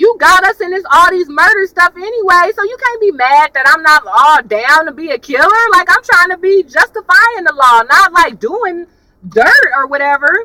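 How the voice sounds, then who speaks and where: A woman with a raised, projected voice and an animated, bright, sharp tone speaks at an extremely high pitch with very wide pitch swings, in a dry, close sound with no echo. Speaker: YouTube TV reviewer. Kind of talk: casual chat. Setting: in a car.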